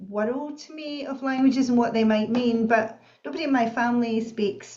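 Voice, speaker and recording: Audible room echo surrounds a woman with a Scottish accent who speaks at a high pitch and a moderate pace with ordinary pitch variation. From Scotland, Bellshill near Glasgow. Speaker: professor and author. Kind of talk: interview.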